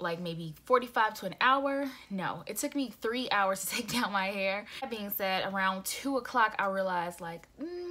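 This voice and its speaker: A woman talks at a moderate pace with hardly any pauses. Her pitch varies in an ordinary way. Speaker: vlogger. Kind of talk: casual vlog chat. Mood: venting, frustrated but laughing. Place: home room. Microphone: phone near.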